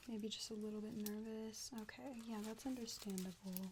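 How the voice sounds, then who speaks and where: Amid noticeable background noise, a woman speaks in a calm tone with fairly high pitch and fairly even intonation. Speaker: ASMR artist doing a nurse roleplay. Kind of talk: medical roleplay ASMR vital check. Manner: soft-spoken, calm.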